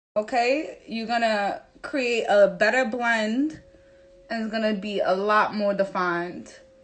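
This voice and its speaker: A woman talks at a very slow pace with a strong New York accent. Her pitch is fairly high, with ordinary pitch variation. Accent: thick New York City. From New York City. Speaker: makeup artist. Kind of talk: tutorial. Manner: casual, direct.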